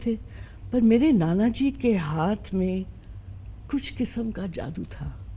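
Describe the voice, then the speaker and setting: Somewhat breathy and dark, mellow in tone, a woman's medium-pitched voice moves in very wide pitch swings. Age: 60s. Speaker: interview guest. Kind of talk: interview conversation.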